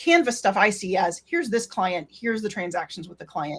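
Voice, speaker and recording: The woman's voice sits at a fairly high pitch. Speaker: Slack consultant presenter. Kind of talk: Q&A after presentation. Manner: fast.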